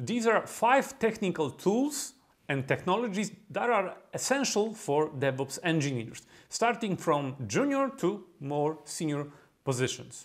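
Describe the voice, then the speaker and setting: A man with a strong Polish accent talks at a fairly slow pace in a high pitch, his voice swinging very widely in pitch over a very clean recording with a silent background. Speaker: DevOps consultant and YouTuber. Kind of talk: tutorial.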